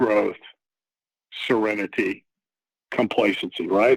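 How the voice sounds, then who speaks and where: The man speaks at a moderate pace, the sound dry and close with no echo. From Texas. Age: 60s. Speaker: recovering alcoholic sharing his story. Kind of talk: personal testimony in podcast interview.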